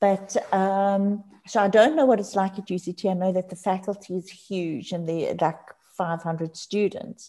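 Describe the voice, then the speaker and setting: With a Johannesburg accent, a woman talks at a fairly slow pace in a dark, mellow tone at medium pitch. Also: ordinary pitch variation. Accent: Johannesburg South African English. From Johannesburg, South Africa. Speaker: addiction counselor and lecturer. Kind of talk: casual interview.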